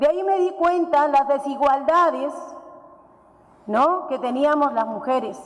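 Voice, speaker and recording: With an Andean accent, a woman talks at a high pitch with ordinary pitch variation, and there is audible room echo and noticeable background noise. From Peru, Puno region (Huancané, Aymara highlands). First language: Aymara (speaking Spanish). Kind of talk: conference talk. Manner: halting.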